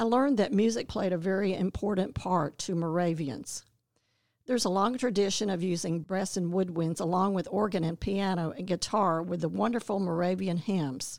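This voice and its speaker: An unremarkable speaking voice, a woman's at medium pitch, moves at a moderate pace with ordinary pitch variation. The recording is very clean, with a silent background. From North Carolina, Winston-Salem. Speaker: church member giving a devotion. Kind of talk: scripted devotional reading.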